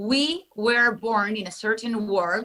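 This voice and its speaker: A woman's bright, sharp voice with a Spanish accent, at a fairly high pitch with ordinary pitch variation. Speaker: entertainment journalist. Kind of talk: interview. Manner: animated.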